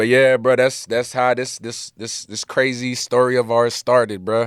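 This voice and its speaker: A man's medium-pitched voice at a moderate pace, monotone and flat, with a dry, close sound and no echo. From Miami, Allapattah (Dominican parents). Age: 20s. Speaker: rapper. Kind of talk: casual chat. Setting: studio.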